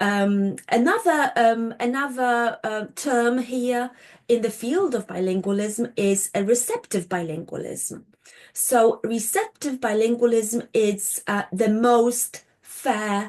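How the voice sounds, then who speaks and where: This woman speaks with a Polish accent at a very slow pace. Her pitch is fairly high, with ordinary variation. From Poland. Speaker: linguistics lecturer. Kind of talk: lecture. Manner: halting, with many fillers.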